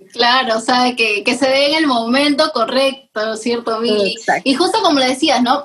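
Over noticeable background noise, a woman speaks at a high pitch and a moderate pace, with ordinary pitch variation. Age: 20s. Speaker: podcast co-host, business engineer. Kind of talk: casual chat.

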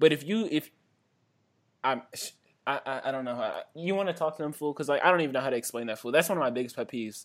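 Very fast between long, frequent pauses, a man with an American accent speaks at a fairly high pitch with ordinary pitch variation. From Washington DC area. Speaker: podcast co-host. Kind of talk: casual chat.

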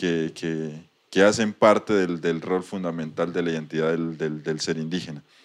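A man speaks at a moderate pace. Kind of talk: casual interview. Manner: halting, repetitive.

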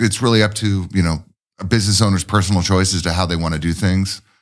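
Over a silent background in a very clean recording, a man talks at a very fast pace with a fairly low pitch and ordinary pitch variation. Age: 40s. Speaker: craft brewer. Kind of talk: casual chat.

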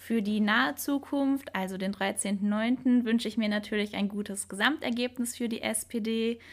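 Recorded very cleanly against a silent background, a woman of medium pitch speaks at a moderate pace in an ordinary speaking voice. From Hilden, Rhineland, Germany. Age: 20s. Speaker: local politics volunteer. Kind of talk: panel discussion.

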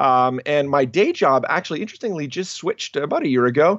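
Speaking in an ordinary speaking voice, a man keeps a fairly quick pace at a fairly high pitch with lively intonation. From Canada. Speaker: ministry leader and author. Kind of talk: interview.

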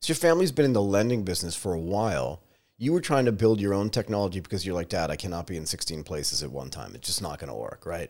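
Very fast speech from a fairly low-voiced man, with very wide pitch swings, vocal fry and hardly any pauses. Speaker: podcast host. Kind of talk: casual interview.

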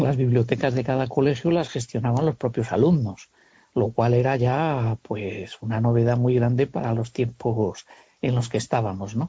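A somewhat breathy man's voice at medium pitch and moderate pace, with ordinary pitch variation. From Castile, Spain (Segovia). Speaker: carpenter. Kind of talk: interview. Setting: phone call.

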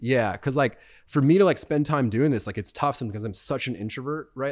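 A man talking at a very fast pace. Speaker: surfer and surf brand owner. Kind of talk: casual chat. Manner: laid-back.

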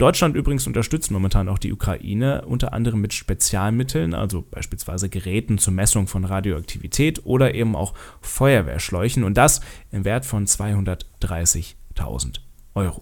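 With an unremarkable speaking voice, a man talks at a moderate pace and a fairly low pitch, with lively intonation. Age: 20s. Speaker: political podcast host and TV editor. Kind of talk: solo podcast monologue on politics.

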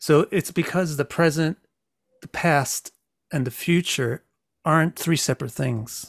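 A man's fairly high, fairly slow voice with an American accent, ordinary pitch variation and long, frequent pauses, in a dry, close sound with no echo. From United States. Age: 50s. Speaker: astrologer and author. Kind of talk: casual interview.

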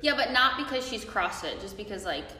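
Through noticeable background noise, a woman speaks at a fairly quick pace. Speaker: guest. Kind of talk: casual chat.

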